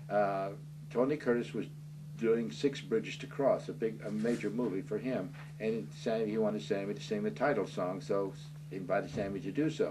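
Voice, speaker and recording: With an American accent, a man talks at a fairly quick pace and medium pitch, his voice swinging very widely in pitch amid audible room echo. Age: 70s. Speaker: author. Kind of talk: interview. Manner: halting.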